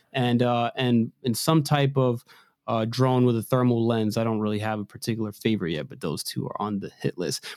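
Using a normal speaking voice, a man with an American accent talks at a fairly quick pace with medium pitch and ordinary pitch variation, in a dry, close sound with no echo. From Maryland, US. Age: 20s. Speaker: drone photographer and videographer. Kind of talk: podcast interview.

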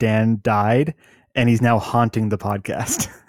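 A man speaks in a normal speaking voice at a medium pitch and a fairly slow pace, the sound dry and close with no echo. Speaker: podcast co-host, gamer. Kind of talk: casual chat about video games.

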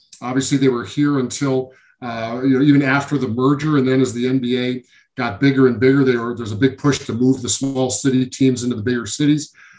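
Here a man talks at a fairly quick pace with an American accent. His medium-pitched voice has monotone, flat intonation. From Syracuse, New York. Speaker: former college basketball player. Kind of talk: interview. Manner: halting, many fillers.

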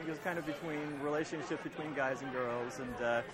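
Over noticeable background noise and audible room echo, a man speaks at a fairly quick pace. His pitch is fairly high, with ordinary pitch variation. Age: 30s. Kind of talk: casual chat. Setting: bar.

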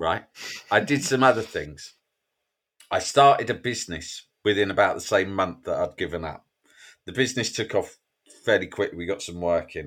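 A man speaks at a moderate pace with long, frequent pauses and big swings in loudness, in a very clean recording against a silent background. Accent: English. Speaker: mental health author. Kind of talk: interview.

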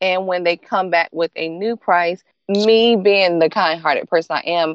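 Speaking with a Southern US accent, a woman talks at a medium pitch and moderate pace with ordinary pitch variation. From US South, North Carolina. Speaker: chocolate treat maker, small business owner. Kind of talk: interview.

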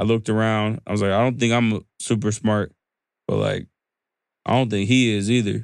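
A man with an American accent speaks in a flat monotone at a moderate pace, his loudness very even. Long, frequent pauses break up his speech. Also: fairly low pitch for a man, dry, close sound with no echo. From US South. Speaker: business founder and CEO. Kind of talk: interview conversation. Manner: halting, many fillers and restarts.

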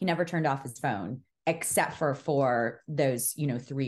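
Against a quiet background, a woman with an American accent speaks in a very deep, low voice with ordinary pitch variation. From New York City. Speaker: podcast host, guest. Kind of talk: casual chat.

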